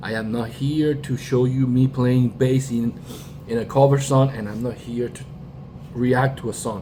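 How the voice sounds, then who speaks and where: Through noticeable background noise, a man at medium pitch speaks in a flat monotone with a Spanish accent. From Puerto Rico. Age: 40s. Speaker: YouTuber, music reactor and bassist. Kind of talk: casual commentary monologue. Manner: halting, with fillers and restarts.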